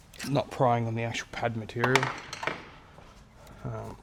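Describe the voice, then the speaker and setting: Soft-spoken, a man talks at a moderate pace with big swings in loudness over noticeable background noise. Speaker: car mechanic vlogger. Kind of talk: workshop tutorial.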